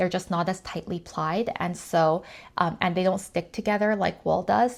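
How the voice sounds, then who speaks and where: A woman's medium-pitched voice at a moderate pace, with fairly even intonation, on a very clean recording with a silent background. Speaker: knitting podcaster. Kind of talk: casual vlog talk.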